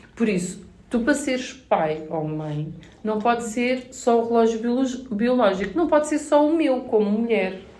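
A woman with a fairly high pitch speaks at a fairly slow pace with lively intonation, and audible room echo surrounds her voice. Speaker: mother and content creator. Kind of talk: casual chat.

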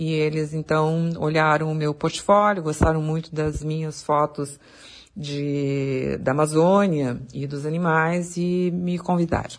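Speaking at a very slow pace, a woman uses a very deep, low pitch and monotone, flat intonation. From southern Brazil, Porto Alegre. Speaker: wildlife photographer. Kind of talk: interview.

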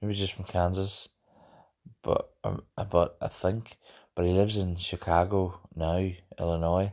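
Against a quiet background, a man with a Northern Irish accent mumbles in a very deep, low pitch with monotone, flat intonation and long, frequent pauses. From Northern Ireland. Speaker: podcast host. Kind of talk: casual solo monologue. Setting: home recording. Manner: mumbly, rambling, hesitant.

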